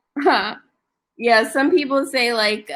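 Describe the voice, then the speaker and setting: A woman with an American accent speaks in a bright, sharp tone with ordinary pitch variation. The recording is very clean with a silent background. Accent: slight country. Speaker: online English tutor. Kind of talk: casual tutoring chat.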